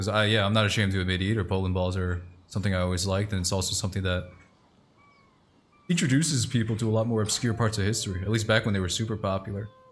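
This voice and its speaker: Somewhat breathy and fairly low-pitched, a man talks at a very fast pace with fairly even intonation. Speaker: streamer. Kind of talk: casual chat while gaming. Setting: live stream.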